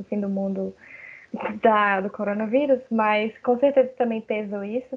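A woman speaks at a moderate pace with fairly even intonation and a fairly high pitch. She has an ordinary speaking voice. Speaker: lawyer and graphic designer. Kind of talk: casual chat.

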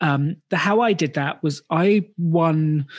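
The speaker is a man with a British accent. His pitch rises and falls normally. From UK. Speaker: business school co-founder. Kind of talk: interview, casual chat.

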